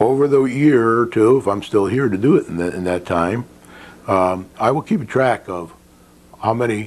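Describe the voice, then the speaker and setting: A man speaks at a moderate pace and medium pitch in a plain, everyday voice. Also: ordinary pitch variation. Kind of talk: local access TV program host talk.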